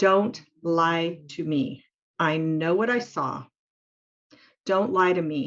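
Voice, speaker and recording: A raspy put-on character voice at a middle pitch has a confident tone. It moves at a very slow pace. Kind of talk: commanding, assertive. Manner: strong, confident, firm.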